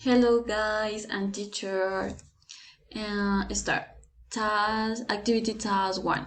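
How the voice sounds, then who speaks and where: A woman with a Colombian accent, fairly high in pitch and monotone, flat in intonation, at a very slow pace with audible room echo. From Colombia, Bogotá. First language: Spanish. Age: 20s. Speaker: language student. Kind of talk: class assignment presentation. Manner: halting, many hesitations.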